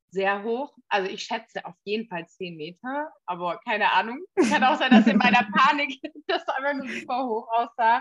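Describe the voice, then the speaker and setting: A woman's unremarkable speaking voice, fairly high in pitch, at a moderate pace, with lively intonation and big swings in loudness. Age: 20s. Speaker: podcast co-host. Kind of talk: casual chat.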